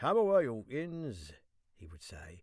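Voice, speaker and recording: A man speaks in a normal speaking voice, with lively intonation at a moderate pace. The recording is very clean, with a silent background. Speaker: professional voice actor and audiobook narrator. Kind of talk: audiobook narration of classic literature. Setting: professional home studio. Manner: clear, measured storytelling.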